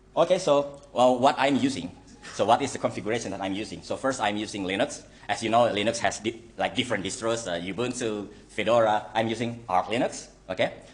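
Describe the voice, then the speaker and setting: Amid noticeable background noise, a man with an Indonesian accent speaks at a fairly quick pace, his medium pitch showing ordinary variation. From Indonesia (Java). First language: Javanese or Indonesian. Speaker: software engineer, guest lecturer. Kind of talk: lecture. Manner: halting, many fillers.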